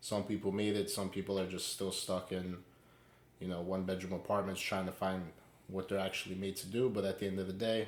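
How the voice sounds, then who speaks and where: The speech comes at a fairly quick pace in a flat monotone with an American accent. Room echo is audible. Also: man. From New York City, Queens. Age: 20s. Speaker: podcast co-host. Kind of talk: casual chat.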